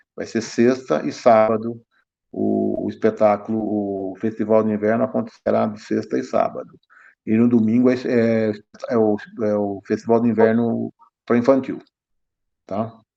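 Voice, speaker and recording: With music in the background, a man talks at a fairly slow pace. He leaves long, frequent pauses. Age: 60s. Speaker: municipal culture official. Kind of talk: online council meeting discussion.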